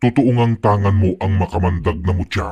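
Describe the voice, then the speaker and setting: This man uses a put-on character voice. His pitch sits fairly low. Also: moderate pace, ordinary pitch variation. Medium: read story. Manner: menacing, taunting.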